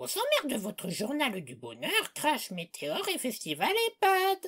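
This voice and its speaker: A cartoonish character voice, high-pitched and shrill. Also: moderate pace. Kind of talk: comedy parody news bulletin.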